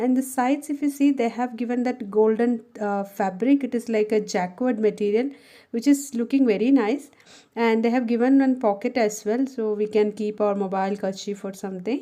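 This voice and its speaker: A woman with a Keralan accent speaks at a moderate pace in a fairly high-pitched voice with a dark, mellow tone and fairly even intonation. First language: Malayalam. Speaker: homemaker and office worker. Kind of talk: casual haul video talk to camera.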